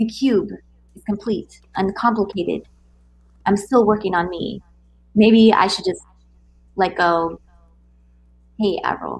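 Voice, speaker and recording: A woman speaks in a somewhat breathy voice with big swings in loudness. She leaves long, frequent pauses. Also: medium pitch for a woman, fairly slow pace. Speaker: co-host poetry reader. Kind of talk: casual live chat and poetry reading. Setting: live YouTube stream. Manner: casual, excited.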